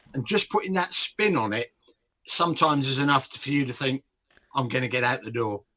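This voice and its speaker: At a fairly quick pace, a man speaks at a medium pitch with lively intonation. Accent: British. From UK. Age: 60s. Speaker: nutrition and behaviour change expert. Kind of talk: podcast interview.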